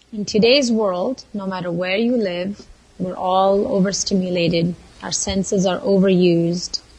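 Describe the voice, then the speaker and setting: A woman's medium-pitched voice at a moderate pace, over noticeable background noise. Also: ordinary pitch variation. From southern India, Mysore. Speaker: Ayurvedic lifestyle and culinary coach. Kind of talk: casual chat.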